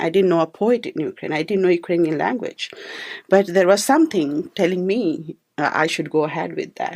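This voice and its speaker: Speaking at a fairly quick pace with an Indian accent, the voice shows ordinary pitch variation on a very clean recording with a silent background. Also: woman, medium pitch for a woman. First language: Hindi. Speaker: poet and filmmaker. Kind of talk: radio interview answer.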